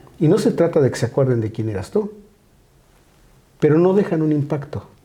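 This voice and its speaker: A man's fairly high, dark and mellow voice, somewhat breathy, with very wide pitch swings and a fairly quick pace. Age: 60s. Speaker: pastor. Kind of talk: casual chat.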